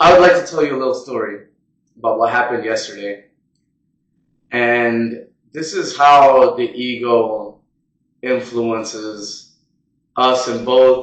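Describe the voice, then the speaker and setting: This man speaks at a medium pitch with ordinary pitch variation. His pace is fairly slow, broken by long, frequent pauses. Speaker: podcast host. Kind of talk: casual monologue. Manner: halting.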